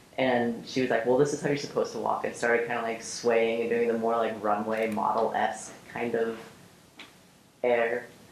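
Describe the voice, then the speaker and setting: A man talks at a moderate pace and medium pitch, his intonation monotone and flat. Audible room echo and noticeable background noise fill the recording. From Oregon, suburb of Portland. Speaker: interviewee in documentary. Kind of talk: personal testimony interview.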